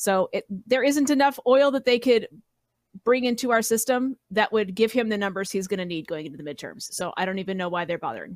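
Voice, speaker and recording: With an American accent, a woman speaks in an ordinary speaking voice at a fairly high pitch and a fairly quick pace, her intonation lively, in a very clean, dry, close recording with no echo and a silent background. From Colorado, US. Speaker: political podcast panelist. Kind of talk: casual political chat.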